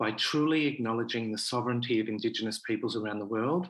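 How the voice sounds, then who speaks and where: With an Australian accent, a man speaks at medium pitch with ordinary pitch variation. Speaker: festival director. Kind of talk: prepared speech.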